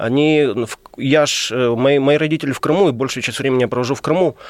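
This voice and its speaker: At a fairly quick pace, a man talks in an ordinary speaking voice pitched fairly high. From Crimea, Ukraine. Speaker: publicist and journalist. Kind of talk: radio interview. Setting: radio studio.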